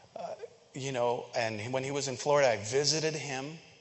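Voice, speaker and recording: Noticeable background noise and audible room echo around a male speaker with a fairly high pitch, at a moderate tempo. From Philippines. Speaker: church member. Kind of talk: sermon. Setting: church.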